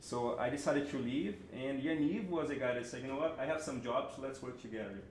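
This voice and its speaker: Someone with a Brazilian Portuguese accent talks at a fairly quick pace with ordinary pitch variation. Noticeable background noise and audible room echo are present. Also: man, medium pitch for a man. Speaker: creative director and animator. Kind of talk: panel talk before an audience.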